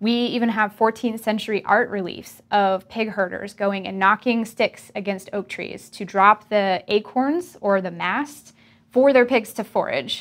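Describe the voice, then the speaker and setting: A woman speaks in a plain, everyday voice, fairly high in pitch with ordinary pitch variation. Her pace is fairly slow with hardly any pauses, and the recording is very clean with a silent background. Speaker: research professor. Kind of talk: scripted narration.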